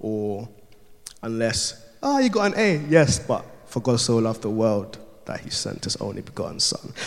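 Room echo can be heard. A man is talking at a moderate pace. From Ghana. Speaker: youth work apprentice preacher. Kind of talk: sermon. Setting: church.

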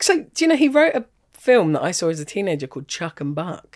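With a southern English accent, a woman speaks at a fairly quick pace. Her pitch swings very widely. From Kent, England. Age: 40s. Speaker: stand-up comedian. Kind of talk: casual chat.

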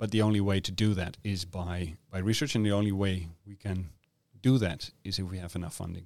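The speaker has a Dutch accent. Their intonation stays fairly even. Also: man, very clean recording, silent background. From Netherlands. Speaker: medical oncologist and cancer researcher. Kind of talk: interview. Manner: halting, with frequent fillers.

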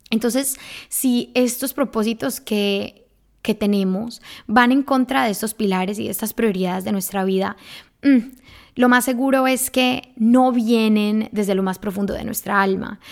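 A woman has a plain, everyday voice, fairly high in pitch. Her pitch variation is ordinary. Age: 20s. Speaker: podcast host, personal growth coach. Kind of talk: solo podcast monologue. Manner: casual, with many fillers.

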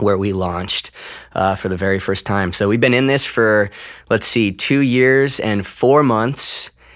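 On a very clean recording with a silent background, a man talks at a moderate pace with ordinary pitch variation. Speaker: pastor. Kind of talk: casual interview chat. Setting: church campus room.

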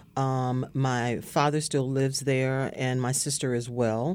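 Very deep and low in pitch, a woman speaks with a dark, mellow tone in an American accent. The recording is very clean, with a silent background. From US South, rural Virginia. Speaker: English professor. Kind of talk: oral history interview.

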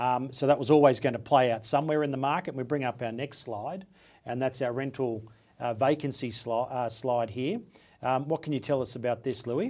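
A man speaks with an Australian accent. His pace is fairly quick and his intonation fairly even. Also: medium pitch for a man. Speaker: property podcast host. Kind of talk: interview.

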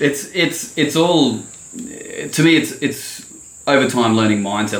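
A man's moderately paced speech with an Australian accent, ordinary pitch variation and audible room echo. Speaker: landscaping business owner. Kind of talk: casual chat.

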